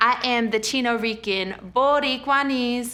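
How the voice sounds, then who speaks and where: This woman speaks with an American accent. Her tone is bright and sharp. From Colorado, Fort Collins. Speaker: spoken word poet. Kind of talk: spoken word poetry; casual talk.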